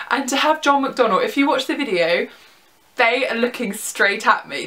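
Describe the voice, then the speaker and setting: Raising and projecting her voice, a woman with a southern English accent speaks at a high pitch with very wide pitch swings. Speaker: vlogger. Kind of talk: casual vlog. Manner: animated.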